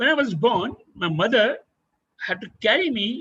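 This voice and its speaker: The man's intonation is lively as he talks. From India. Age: 70s. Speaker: adventurer and former army officer. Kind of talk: webinar talk.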